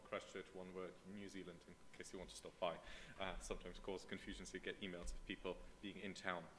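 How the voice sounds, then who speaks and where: A man with a German accent at a moderate pace, over light background noise. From Germany. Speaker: political scientist. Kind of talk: conference talk. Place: hall.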